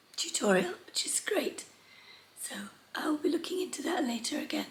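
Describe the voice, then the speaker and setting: Over noticeable background noise, a woman talks fairly quickly in a high pitch with very wide pitch swings. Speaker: sewing vlogger. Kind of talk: casual talk to camera.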